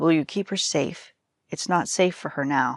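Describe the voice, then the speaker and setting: A woman's raspy, put-on character voice at a fairly low pitch and moderate pace, over a quiet background. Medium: read story. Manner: grave, measured.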